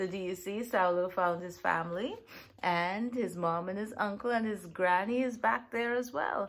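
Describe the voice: Plain reading aloud with ordinary pitch variation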